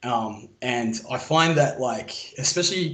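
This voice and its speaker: A man with an Australian accent speaks at a fairly high pitch with lively intonation and a somewhat breathy voice. Audible room echo surrounds him. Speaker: military veteran, call-in guest. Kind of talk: casual chat.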